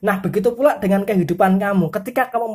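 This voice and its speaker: Somewhat breathy, a woman talks at a very fast pace with a medium pitch and ordinary pitch variation. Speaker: tarot reader. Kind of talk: tarot horoscope reading. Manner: forceful.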